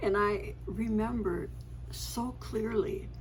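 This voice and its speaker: Audible room echo surrounds the woman's voice as she speaks. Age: 80s+. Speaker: family storyteller vlogger. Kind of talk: casual reminiscing monologue. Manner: halting with fillers.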